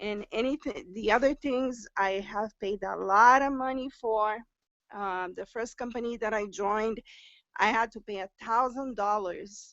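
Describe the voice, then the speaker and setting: Speaking at a fairly slow pace, a woman uses a fairly high pitch with ordinary pitch variation. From Brazil. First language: Portuguese. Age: 50s. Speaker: new direct sales recruit. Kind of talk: testimony on a group live stream. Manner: halting, with fillers and repetitions.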